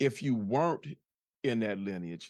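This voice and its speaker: A man at a moderate pace, the sound dry and close with no echo. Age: 60s. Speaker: podcast host. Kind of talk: casual chat. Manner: halting, with many repetitions.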